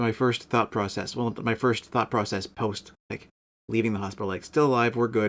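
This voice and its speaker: Monotone and flat, a man with a Canadian accent speaks at a medium pitch and a moderate pace. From Canada, northeastern Ontario. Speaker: music streamer. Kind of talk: casual chat. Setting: live stream. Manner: halting, occasional stutter from aphasia.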